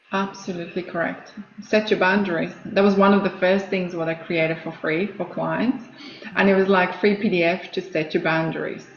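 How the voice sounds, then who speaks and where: Against noticeable background noise, a woman with a Croatian accent speaks at a moderate pace in a medium pitch, her intonation flat and monotone. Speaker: coach and former nurse. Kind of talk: casual interview chat.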